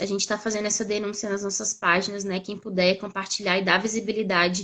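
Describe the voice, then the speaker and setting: A woman with a medium pitch speaks in a monotone, flat way, her tone bright and sharp. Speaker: doctoral researcher and activist. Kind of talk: live stream interview. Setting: online live stream.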